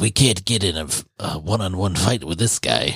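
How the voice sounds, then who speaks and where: In a put-on character voice, a man sounds gravelly and very deep. His intonation is lively and his pace moderate. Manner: deep, strained.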